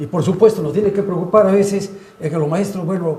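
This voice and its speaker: There is noticeable background noise and audible room echo. Over it, a man speaks at a high pitch. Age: 80s+. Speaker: pediatrics professor. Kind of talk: panel discussion.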